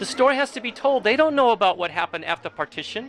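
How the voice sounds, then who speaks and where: A man rattles off his words very quickly while noticeable noise runs underneath. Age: 60s. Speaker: Sikh community member sharing oral history. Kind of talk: oral history interview. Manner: halting.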